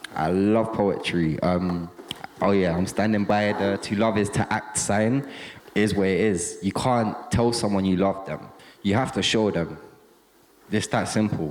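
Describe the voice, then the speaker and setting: A man speaks at a fairly slow pace with a fairly low pitch and fairly even intonation. Noticeable background noise runs under his voice. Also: very even loudness. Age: young. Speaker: lived experience speaker, grew up in care. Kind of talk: casual talk to an audience.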